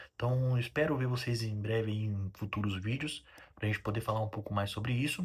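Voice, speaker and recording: A somewhat breathy man at a medium pitch and fairly quick pace, ordinary pitch variation, on a very clean recording with a silent background. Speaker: railway engineer and video creator. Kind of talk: casual educational talk to camera. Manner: fast; halting, many fillers.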